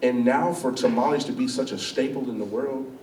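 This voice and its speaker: With noticeable background noise and audible room echo, a man speaks at a fairly quick pace in a medium pitch and an animated tone. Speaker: chef and business owner. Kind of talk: school talk, Q&A. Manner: loud.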